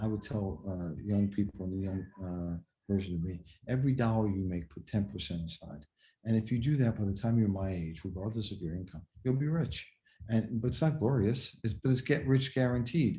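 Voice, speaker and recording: Speaking at a fairly quick pace, a man with a fairly low pitch and a dark, mellow tone sounds somewhat breathy, his intonation lively. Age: 60s. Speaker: car dealership executive. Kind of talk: podcast interview. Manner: hesitant, repeats words.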